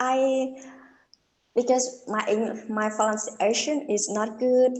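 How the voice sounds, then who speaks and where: A woman's high-pitched voice at a very slow pace, with fairly even intonation and audible room echo. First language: not English. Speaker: English learner. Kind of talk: casual chat. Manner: halting.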